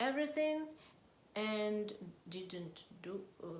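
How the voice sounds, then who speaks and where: A woman speaks quietly and very slowly in a fairly high voice with lively intonation. The room echo is audible. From Russia. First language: Russian. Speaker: political vlogger. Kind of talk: political monologue to camera. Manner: halting, hesitant non-native English.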